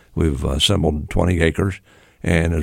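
The recording is very clean with a silent background. On it, a man with an American accent speaks at a very deep, low pitch. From US Midwest, Grove City, Ohio. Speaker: mayor and former banker. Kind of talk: casual interview.

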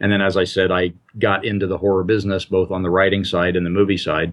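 This is a man with a normal speaking voice and an American accent. He talks fairly quickly at a fairly low pitch. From US Midwest, Indiana. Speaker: author and anthology editor. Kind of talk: casual interview. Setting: Skype call.

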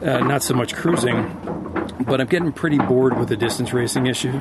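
Here a man speaks at a medium pitch and a fairly quick pace. Noticeable background noise is present. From Connecticut, US. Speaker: sailor and crew member. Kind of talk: casual interview.

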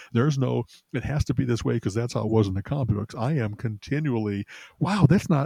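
A man's somewhat breathy, dark and mellow tone, fairly quick pace and lively intonation, in a dry, close sound with no echo. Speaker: podcast co-host. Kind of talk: casual podcast chat. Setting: remote call. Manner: quiet.

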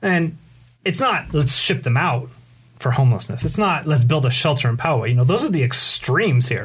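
A man with vocal fry speaks at a medium pitch and a fairly quick pace, with ordinary pitch variation and very even loudness. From Southern California, San Diego area. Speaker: community activist. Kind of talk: casual interview. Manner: halting, many fillers.

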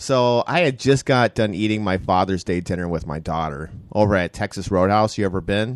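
Using a normal speaking voice, a man with a fairly low pitch talks at a fairly quick pace with hardly any pauses and ordinary pitch variation against a quiet background. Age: 40s. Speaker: podcast host. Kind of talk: casual chat. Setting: studio.

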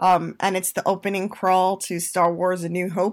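A very clean recording with a silent background and a monotone, flat intonation. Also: woman. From Puerto Rico / New York. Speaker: therapist and podcast co-host. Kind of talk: casual chat.

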